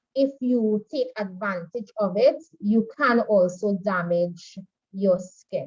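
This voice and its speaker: A somewhat breathy voice at a very slow pace. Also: woman, medium pitch for a woman, ordinary pitch variation. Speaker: makeup artistry instructor. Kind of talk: online class lecture.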